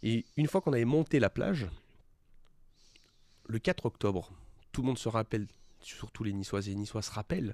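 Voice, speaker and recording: A man at a medium pitch and fairly quick pace, lively intonation, long and frequent pauses, in a dry, close sound with no echo. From French Riviera (Cannes area, Alpes-Maritimes). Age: 20s. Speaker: young entrepreneur. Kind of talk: interview. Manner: hesitant, many fillers.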